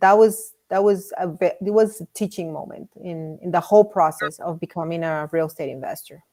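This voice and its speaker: A woman with a Spanish accent talks at a fairly quick pace with hardly any pauses and big swings in loudness. Her fairly low voice has a dark, mellow tone and fairly even intonation. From Miami, Florida. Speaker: real estate investor. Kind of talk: interview. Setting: live stream. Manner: halting, repeats words.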